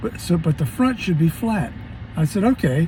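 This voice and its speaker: Over noticeable background noise, a man with a fairly high pitch talks at a fairly quick pace with very wide pitch swings. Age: 70s. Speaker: car owner making a DIY repair video. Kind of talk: casual how-to explanation. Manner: halting, many fillers and repeats.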